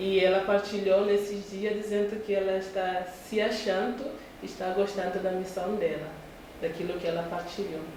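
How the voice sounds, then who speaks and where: Noticeable background noise and audible room echo surround the speech. The pace is moderate, and the intonation is monotone and flat. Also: woman, medium pitch for a woman. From northern Mozambique. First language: a Mozambican local language (speaking Portuguese). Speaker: missionary nun. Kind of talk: interview.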